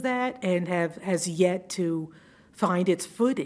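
Hers is a plain, everyday voice, a woman's at a medium pitch with ordinary pitch variation. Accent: American. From US South, Georgia (Savannah). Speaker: retired judge. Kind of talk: interview.

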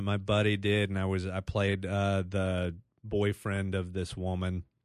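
The speech comes in an American accent at a moderate pace. The background is quiet. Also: man. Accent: Texas accent, thickest right after stand-up. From Texas, Dallas area. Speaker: stand-up comedian and commercial actor. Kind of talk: casual chat. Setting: studio.

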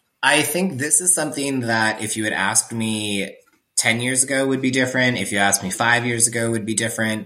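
With an American accent, a man speaks at a fairly quick pace in a bright, sharp tone. His pitch is medium, with ordinary variation. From US Pacific Northwest, Seattle. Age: 30s. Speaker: burlesque performer and underwear blogger. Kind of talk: casual chat.

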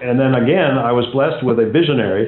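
In an American accent, a man uses an ordinary speaking voice at a medium pitch, with ordinary pitch variation and a fairly quick pace. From US South, Atlanta Georgia. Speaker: real estate company CEO. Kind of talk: interview.

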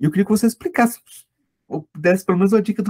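The recording is dry and close, with no echo. The speaker is a man. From Brazil, Goiás. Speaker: podcast host and law lecturer. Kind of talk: interview conversation.

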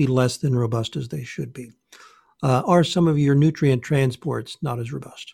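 A man's dark, mellow, somewhat breathy voice at a moderate pace, on a very clean recording with a silent background. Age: 60s. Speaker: naturopath. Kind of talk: interview, explanatory talk.

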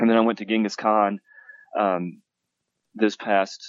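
In an Appalachian accent, a man with a fairly low pitch speaks fairly slowly in a flat, monotone way. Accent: Appalachian Southern US. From US South, western North Carolina (Appalachia). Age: 40s. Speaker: game author and university teacher. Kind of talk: interview. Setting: phone call.

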